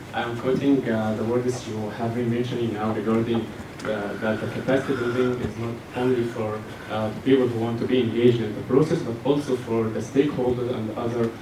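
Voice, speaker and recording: A man's medium-pitched, monotone voice at a fairly quick pace, with flat intonation, noticeable background noise and audible room echo. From Egypt. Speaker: audience member asking a question. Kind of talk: audience question. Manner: halting.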